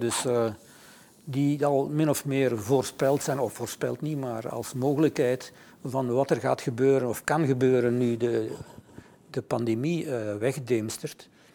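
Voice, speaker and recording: The speaker is a man with a normal speaking voice and a medium pitch. He keeps a moderate pace and ordinary pitch variation. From Flanders. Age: 60s. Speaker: author. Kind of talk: interview. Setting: studio.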